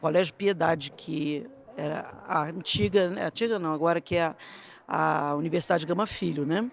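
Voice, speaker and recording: A woman speaks with a Rio de Janeiro accent at a fairly low pitch. Her pace is moderate and her pitch variation ordinary. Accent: carioca. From Brazil, Rio de Janeiro. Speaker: gymnastics coach and judge. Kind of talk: interview storytelling.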